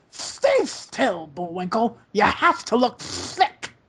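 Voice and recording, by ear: In a cartoonish character voice, a woman growls at a fairly high pitch, with very wide pitch swings and a very slow pace.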